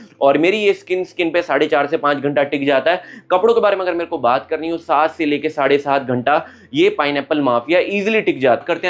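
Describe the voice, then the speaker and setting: Fairly high in pitch with ordinary pitch variation, a man talks at a moderate pace. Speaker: perfume reviewer. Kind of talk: product review monologue. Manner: casual, conversational.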